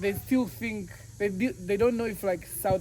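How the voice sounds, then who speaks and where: The intonation here is lively. Behind the speech, music is playing. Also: man. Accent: East African. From Tanzania. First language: Swahili. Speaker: travel vlogger. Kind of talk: casual chat.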